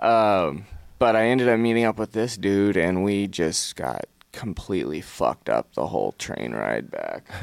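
The speaker is a man talking at a moderate pace. The sound is dry and close, with no echo. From Fresno, California. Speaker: person in recovery from addiction. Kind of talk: casual interview sharing personal story.

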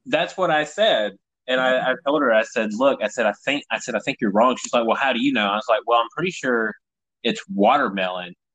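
At a fairly quick pace, a man talks with medium pitch and lively intonation. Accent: American. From Tennessee. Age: 30s. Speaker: podcast host, comedian. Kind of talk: casual chat.

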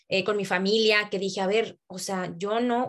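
Fairly even intonation runs through the speech at a moderate pace. It is a plain, everyday voice. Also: woman. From Mexico, Tampico, Tamaulipas. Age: 20s. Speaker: MBA student and habits group leader. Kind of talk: casual chat.

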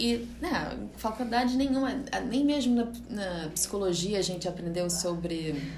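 Through audible room echo and noticeable background noise, a woman of medium pitch talks at a fairly slow pace with lively intonation. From California, USA (Brazilian family, holidays in Rio). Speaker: yoga teacher. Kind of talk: casual interview chat. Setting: yoga studio, Instagram live.

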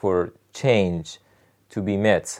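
A man speaks with a Persian accent. The recording is very clean, with a silent background. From Iran (Rasht, northern Iran). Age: 30s. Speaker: political activist. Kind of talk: interview. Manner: halting, many fillers.

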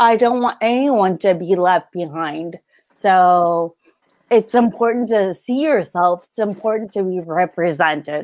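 Speaking at a fairly slow pace with an American accent, a woman uses a medium pitch and lively intonation. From California. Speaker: book editor and former literary agent. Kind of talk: casual interview.

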